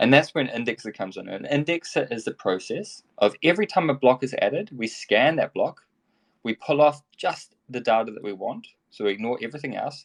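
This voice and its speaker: A man with a New Zealand accent talks at a fairly high pitch and a fairly quick pace, with lively intonation and big swings in loudness, in a dry, close sound with no echo. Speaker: tech company executive. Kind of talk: interview. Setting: online audio room. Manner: mumbling.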